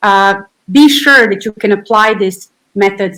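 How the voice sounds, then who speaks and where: This woman has a medium pitch and a Serbian accent. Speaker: physiotherapist and researcher. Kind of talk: interview.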